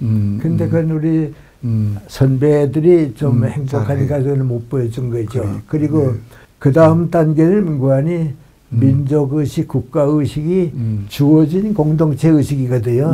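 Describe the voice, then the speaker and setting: A man's fairly high, somewhat breathy voice has a dark, mellow tone and lively intonation. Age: 80s+. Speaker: philosopher, professor. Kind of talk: interview answer.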